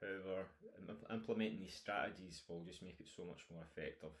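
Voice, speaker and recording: A man talks at a fairly quick pace. He has a strong Scottish accent. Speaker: nutrition coach. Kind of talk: online course lecture. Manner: casual with fillers.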